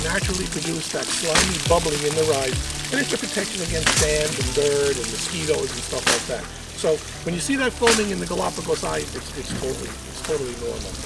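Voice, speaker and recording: A man with a New York accent at a very fast pace, amid audible room echo and noticeable background noise. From Long Island, New York. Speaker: tortoise breeder. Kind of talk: casual interview.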